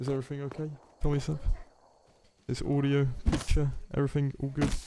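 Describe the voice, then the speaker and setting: In a British accent, this man talks at a fairly quick pace. His tone is dark and mellow, with fairly even intonation. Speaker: gaming streamer. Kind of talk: live stream commentary.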